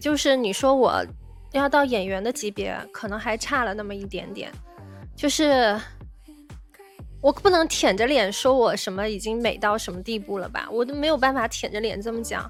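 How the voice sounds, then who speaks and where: Over music in the background, a woman with a fairly high pitch speaks at a moderate pace, with ordinary pitch variation and big swings in loudness. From China. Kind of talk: casual livestream chat to viewers.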